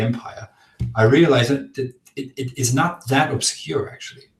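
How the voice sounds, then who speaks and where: Somewhat breathy, a man with a German accent talks at a moderate pace with ordinary pitch variation. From Germany, Augsburg, Bavaria. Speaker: philosopher. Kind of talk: casual chat. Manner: halting.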